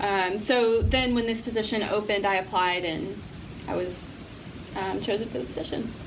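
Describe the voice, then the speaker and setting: A woman speaks at a medium pitch and a moderate pace with ordinary pitch variation. Audible room echo and noticeable background noise surround her. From Appalachia. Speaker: nonprofit director. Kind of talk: interview.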